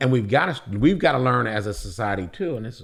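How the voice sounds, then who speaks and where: A man talks at a very fast pace in an American accent. His voice is somewhat breathy, with lively intonation. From Illinois, Joliet. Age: 50s. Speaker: diversity coordinator and community volunteer. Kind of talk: casual podcast conversation.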